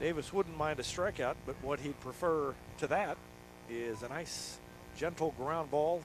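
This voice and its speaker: Music plays behind a man with a fairly high pitch and ordinary pitch variation. He leaves long, frequent pauses. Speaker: baseball play-by-play announcer. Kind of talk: live baseball play-by-play commentary. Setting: outdoors at a windy ballpark, broadcasting live.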